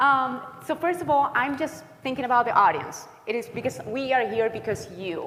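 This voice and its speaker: Over noticeable background noise, a woman with a slight Chilean accent speaks at a moderate pace with very wide pitch swings. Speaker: counselor. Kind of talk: workshop presentation.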